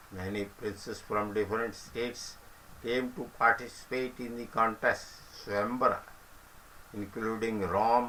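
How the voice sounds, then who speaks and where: A medium-pitched man with an Indian accent speaks in a monotone, flat way, with big swings in loudness and long, frequent pauses. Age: old. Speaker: senior citizen sharing reminiscences. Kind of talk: reminiscence talk and story retelling.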